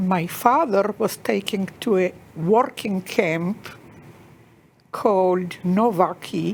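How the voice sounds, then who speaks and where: A woman with an American accent, at a very slow pace with long, frequent pauses. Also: medium pitch for a woman, ordinary pitch variation. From Czechoslovakia, then Israel. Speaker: Holocaust survivor. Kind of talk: testimony.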